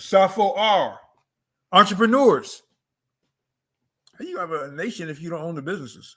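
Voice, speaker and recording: Speaking in an American accent at a moderate pace, a man with a high pitch and a bright, sharp tone makes big swings in loudness and takes long, frequent pauses. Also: lively intonation. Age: 60s. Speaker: author and cultural teacher on African culture. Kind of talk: interview monologue on culture and economics. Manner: emphatic, repetitive.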